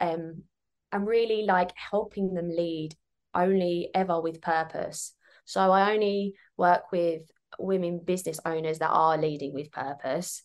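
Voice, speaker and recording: A woman's fairly low voice in a southern English accent, with fairly even intonation against a quiet background. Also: fairly slow pace. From southern England (Kent). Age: 30s. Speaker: business mentor. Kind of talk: casual interview.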